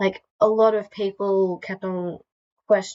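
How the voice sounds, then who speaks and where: A woman speaks quietly. Her pace is fairly slow. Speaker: YouTuber. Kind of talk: casual talk to camera.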